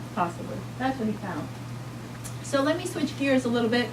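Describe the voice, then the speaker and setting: A woman talks at a fairly quick pace in a New York accent. Noticeable background noise runs under her voice. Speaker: pediatric doctor speaking at a health rally. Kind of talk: public talk at a rally. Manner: animated.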